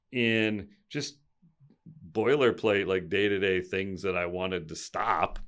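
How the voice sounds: In a very clean recording with a silent background, a man speaks at a fairly low pitch with a clear, smooth tone.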